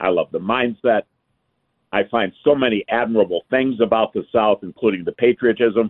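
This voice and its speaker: A man with a plain, everyday voice talks at a moderate pace and a medium pitch, with an American accent and ordinary pitch variation. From US North (Michigan). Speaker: retired businessman. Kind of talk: radio call-in.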